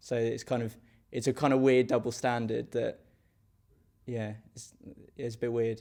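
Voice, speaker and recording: A man with an English accent speaks at a moderate pace and medium pitch, his tone dark and mellow. His intonation is monotone and flat, with long, frequent pauses. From England. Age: young. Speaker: interviewee. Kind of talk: street interview.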